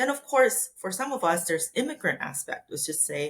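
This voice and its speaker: A woman speaks with very wide swings in pitch. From Korea. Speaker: neuroscientist and biotech executive. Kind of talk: interview conversation.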